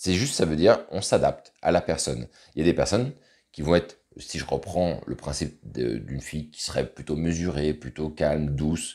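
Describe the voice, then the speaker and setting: This man speaks at a moderate pace in a very deep, low pitch, with ordinary pitch variation, a dark, mellow tone and vocal fry. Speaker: dating coach. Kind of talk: video tutorial. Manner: casual, hesitant with many fillers.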